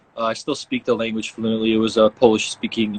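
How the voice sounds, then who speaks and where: The voice has a Chicago accent. The sound is dry and close, with no echo. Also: man. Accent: Chicago American English. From US Midwest, Chicago. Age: 20s. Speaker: professional soccer player. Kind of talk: casual interview chat.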